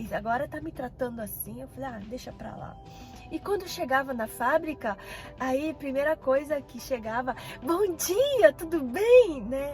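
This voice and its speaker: Over music in the background, the speech moves at a fairly slow pace with ordinary pitch variation. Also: woman. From Paraná, Brazil. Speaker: vlogger. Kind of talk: personal storytelling vlog. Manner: casual, conversational.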